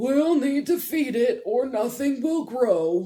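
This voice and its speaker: A high-pitched put-on character voice at a fairly slow pace. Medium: read story. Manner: warm, patient, gentle.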